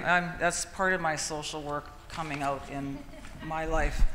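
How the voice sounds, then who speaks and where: Someone speaks with a Canadian accent against noticeable background noise. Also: woman. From Canadian Prairies, Manitoba. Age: 60s. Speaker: patient partner, retired social worker. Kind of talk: personal testimony.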